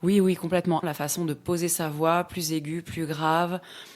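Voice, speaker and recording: With a fairly low pitch, a woman talks at a fairly slow pace. The recording is very clean, with a silent background. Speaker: voice actor. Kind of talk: casual interview answer explaining her profession.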